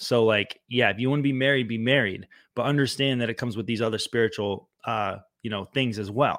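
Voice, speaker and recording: A man speaks in a normal speaking voice at a medium pitch, keeping a fairly even intonation and a fairly quick pace. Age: 30s. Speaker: activist and musician. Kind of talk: casual chat.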